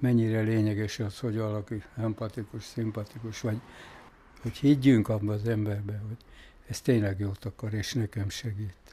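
Speaking at a moderate pace with long, frequent pauses, a man uses a fairly low, somewhat breathy voice of dark, mellow tone and monotone, flat intonation. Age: 80s+. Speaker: retired factory foreman. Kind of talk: casual interview.

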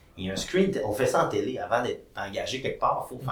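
Audible room echo around a man's fairly quick speech. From Quebec, Saguenay-Lac-Saint-Jean. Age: 30s. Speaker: entrepreneur and TV host. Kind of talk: casual interview.

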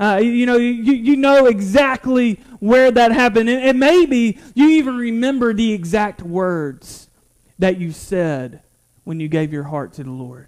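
With a North Carolina accent, a man speaks in an extremely high pitch, with lively intonation and big swings in loudness. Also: fairly slow pace. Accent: Southern US (North Carolina). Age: 20s. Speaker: pastor. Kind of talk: sermon. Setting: church. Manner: halting.

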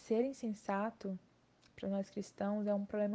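In a somewhat breathy voice, a woman speaks at a medium pitch with fairly even intonation. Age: 20s. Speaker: university student. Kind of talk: Bible study discussion.

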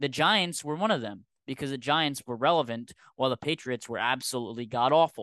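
A man speaks at a fairly quick pace in a bright, sharp tone and medium pitch, with ordinary pitch variation, in a dry, close recording with no echo and a quiet background. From Rhode Island. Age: 20s. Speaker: podcast host. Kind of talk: casual chat.

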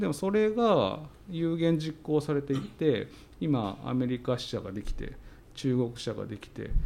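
A man's fairly high-pitched, dark and mellow voice at a fairly slow pace, with very wide pitch swings and big swings in loudness. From Tsuyama, Okayama, Japan. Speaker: company CEO. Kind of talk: interview.

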